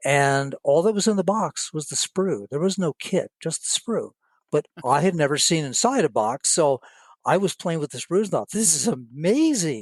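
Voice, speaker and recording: Over a quiet background, someone with an American accent speaks at a moderate pace with very wide pitch swings. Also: man, high pitch for a man. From Southern California. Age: 70s. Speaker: scale modeler, diorama builder. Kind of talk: casual podcast interview. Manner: halting, with repeated words.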